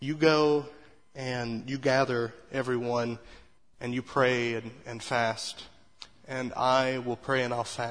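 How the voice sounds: The clip has a natural reading voice. It stays that way throughout.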